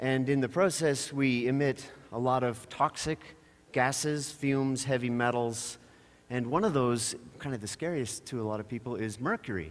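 Moderate-paced male speech and ordinary pitch variation. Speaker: conference speaker. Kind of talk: public talk with humor. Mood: wry, storytelling. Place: stage. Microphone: headset.

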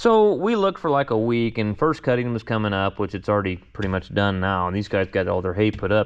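Man with a normal speaking voice, fairly low in pitch, at a fairly quick pace over a quiet background. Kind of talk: casual vlog chat. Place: workshop. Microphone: phone near.

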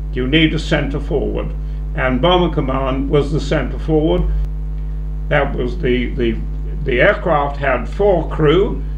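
The speaker moves at a very slow pace with long, frequent pauses, over noticeable background noise. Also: man. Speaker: war veteran. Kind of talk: elderly airman recounting wartime memories to students, reflective interview answers. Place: meeting room. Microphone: handheld.

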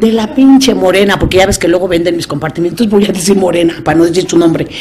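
Very fast speech from a woman, with ordinary pitch variation over light background noise. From Mexico. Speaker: recovering alcoholic sharing testimony; speaker. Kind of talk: testimony. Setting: AA meeting with audience. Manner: animated. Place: meeting room. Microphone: studio mic.

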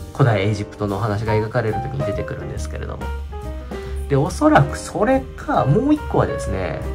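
The talking moves fairly quickly. Behind it, music can be heard clearly. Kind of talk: casual vlog chat. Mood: relaxed reminiscing. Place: home room. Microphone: phone near.

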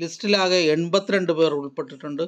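A man speaks with a fairly bright tone at a fairly high pitch. His pitch varies in an ordinary way.

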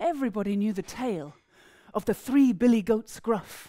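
A woman's fairly high voice with a dark, mellow tone, fairly quick in pace, over a quiet background. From East Anglia, England. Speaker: storyteller. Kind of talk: storytelling performance. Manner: animated. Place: hall. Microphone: headset.

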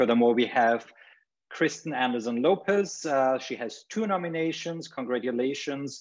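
A man talks with lively intonation at a moderate pace, the background quiet. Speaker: panel host. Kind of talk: formal introduction. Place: home room. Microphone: webcam.

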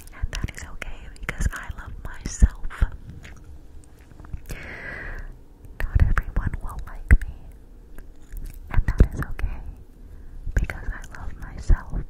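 Soft-spoken and whispering, the voice moves at a very slow pace with long, frequent pauses. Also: woman. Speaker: ASMR creator. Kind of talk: soft-spoken ASMR affirmations. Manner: close, soft whisper into microphone. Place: home room. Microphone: studio mic.

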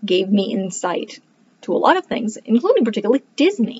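Somewhat breathy, a woman speaks in an animated tone. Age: 30s. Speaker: homeschooling parent and book reviewer; book reviewer. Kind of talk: casual monologue to camera. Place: home room. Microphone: webcam.

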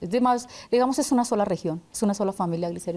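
Talking at a very fast pace, a woman uses a dark, mellow tone and ordinary pitch variation. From Casanare, Colombia; Colombia. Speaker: senator. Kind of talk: interview. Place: studio.

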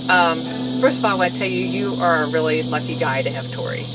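A woman talks at a fairly quick pace against loud background noise. The sound is dry, with no echo. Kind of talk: personal video message, storytelling. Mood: warm, amused, fond. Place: garden. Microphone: camera far.

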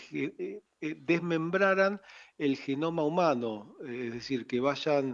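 A man speaks at a very slow pace with a fairly high pitch. The background is quiet. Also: ordinary pitch variation. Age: 60s. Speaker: founder of a redhead club. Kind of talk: radio interview.

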